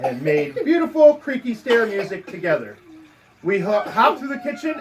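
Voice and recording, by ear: A text is being read aloud in a natural voice.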